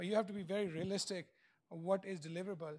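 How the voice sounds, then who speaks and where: Very fast speech comes from a man with a high pitch. His intonation stays fairly even. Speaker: keynote speaker, industry researcher. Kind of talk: conference keynote talk. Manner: hesitant, many fillers.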